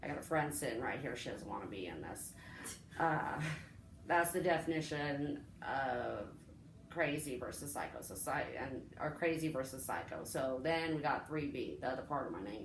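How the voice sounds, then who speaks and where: A woman with a very deep, low pitch talks at a moderate pace. Her intonation is lively, and the room echo is audible. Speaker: vlogger sharing personal story. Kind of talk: casual storytime monologue. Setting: home recording with friend present. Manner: rambling, halting.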